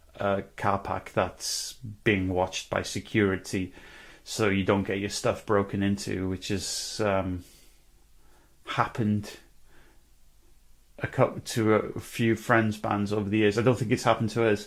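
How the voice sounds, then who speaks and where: A man with a North Welsh accent and a fairly low pitch speaks at a fairly slow pace in a monotone, flat intonation, with long, frequent pauses. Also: very clean recording, silent background. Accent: North Welsh, guttural with rolled R's. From North Wales. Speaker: musician vlogger. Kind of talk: casual vlog monologue. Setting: indoors, corner of a room. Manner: hesitant, many fillers.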